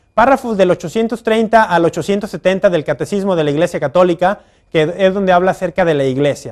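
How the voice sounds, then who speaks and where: A man speaks at a very fast pace. His voice is high-pitched. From Mexico, Guadalajara. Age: young. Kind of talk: religious teaching talk to camera. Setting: recorded outdoors in front of a basilica with crew.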